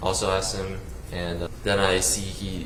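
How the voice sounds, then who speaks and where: A man speaks with an American accent amid noticeable background noise and audible room echo. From US South, South Carolina. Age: 20s. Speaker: trial witness. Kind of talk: testimony. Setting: courtroom. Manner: halting.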